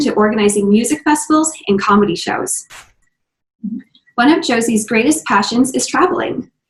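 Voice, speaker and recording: Her delivery is somewhat breathy, with lively intonation and a fairly quick pace as the woman speaks. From US Midwest, Minnesota. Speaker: podcast host. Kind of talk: interview.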